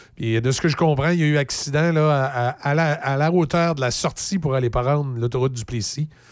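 With a Quebec accent, a man speaks at a fairly quick pace and medium pitch with ordinary pitch variation, in a very clean recording with a silent background. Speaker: radio host. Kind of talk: casual radio chat and news reading. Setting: studio.

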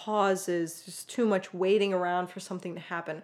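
In a plain, everyday voice, a woman speaks at medium pitch and a moderate pace on a very clean recording with a silent background. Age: 20s. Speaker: podcast co-host, software engineer. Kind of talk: casual chat.

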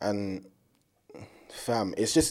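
A man speaks in a dark, mellow tone at a fairly low pitch, on a very clean recording with a silent background. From south-east London, England. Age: 20s. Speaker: university student. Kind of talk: casual chat.

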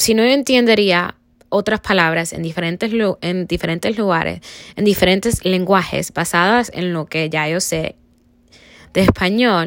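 A woman speaks at a fairly slow pace in an ordinary speaking voice, with medium pitch, ordinary pitch variation, and a very clean recording over a silent background. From Cuba, raised in the US. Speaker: student. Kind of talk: class presentation reflection.

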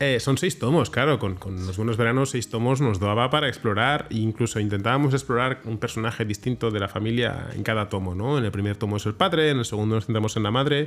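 At a very fast pace and with hardly any pauses, a man speaks at a medium pitch with ordinary pitch variation. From Barcelona, Sants. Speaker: comic book artist. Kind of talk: interview. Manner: halting with frequent word repetitions.

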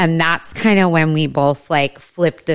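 This woman has a plain, everyday voice with fairly low pitch. She talks at a fairly slow pace. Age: 40s. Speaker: cannabis entrepreneur and nonprofit founder. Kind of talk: casual chat.

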